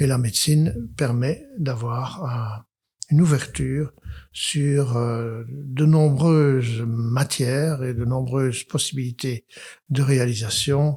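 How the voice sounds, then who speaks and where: At a very slow pace, a man talks with a medium pitch, a dark, mellow tone, fairly even intonation and a somewhat breathy sound. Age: 80s+. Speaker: psychiatrist. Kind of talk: interview testimony. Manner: hesitant, many fillers; gentle, humble.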